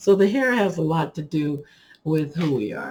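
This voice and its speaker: A somewhat breathy woman at a fairly slow pace. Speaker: hair care YouTuber. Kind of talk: casual tutorial talk to camera. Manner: animated.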